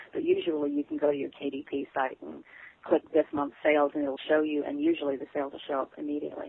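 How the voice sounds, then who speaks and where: A woman with a Southern US accent speaks at a very fast pace, her loudness swinging widely. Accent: Southern US, noticeable. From Texas and Arkansas Ozarks. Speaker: author. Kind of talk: interview, casual chat.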